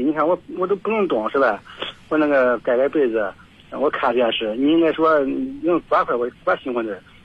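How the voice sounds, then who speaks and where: Speech moves at a moderate pace against noticeable background noise. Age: 60s. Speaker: caller. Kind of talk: phone-in chat. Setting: phone call. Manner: halting.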